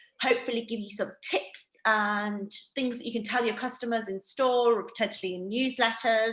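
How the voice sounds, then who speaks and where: A woman with a northeast English accent, fairly high pitch, monotone, flat intonation, big swings in loudness, a moderate pace and hardly any pauses. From northeast England. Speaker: wine educator. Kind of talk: online training presentation. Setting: video call. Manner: casual, filler-heavy.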